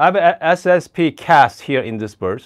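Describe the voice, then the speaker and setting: A man's pitch swings very widely. The background is quiet. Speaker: coffee YouTuber. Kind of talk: live stream product demo. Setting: live stream at home. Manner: casual, halting with fillers. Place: home room. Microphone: lapel.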